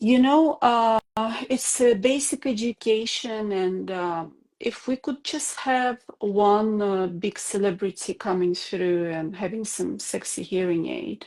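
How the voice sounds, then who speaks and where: A woman with a non-native accent speaks at a very slow pace. Her medium-pitched voice has lively intonation. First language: not English. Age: 40s. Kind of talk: interview. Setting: video call. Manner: halting, many hesitations.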